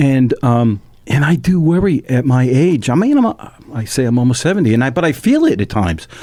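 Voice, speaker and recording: A man's dark, mellow tone with lively intonation and very even loudness. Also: medium pitch for a man, fairly quick pace. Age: 60s. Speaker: radio talk show host. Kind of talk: casual interview chat. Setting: radio studio. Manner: animated.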